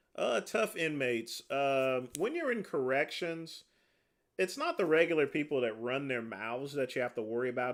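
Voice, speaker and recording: A man speaks in an unremarkable speaking voice at a moderate pace with lively intonation. The recording is very clean, with a silent background. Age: 40s. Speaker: livestreamer, former corrections officer. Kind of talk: casual livestream chat answering viewer comments. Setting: livestream.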